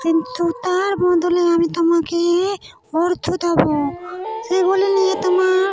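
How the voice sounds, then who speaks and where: A cartoonish character voice speaks at an extremely high pitch and a very slow pace. Background noise is clearly heard. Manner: cackling, sly.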